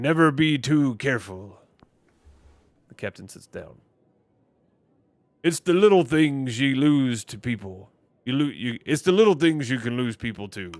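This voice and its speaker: A man's put-on character voice at medium pitch, moderate pace, with lively intonation, big swings in loudness and long, frequent pauses. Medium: game stream. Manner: blunt, probing.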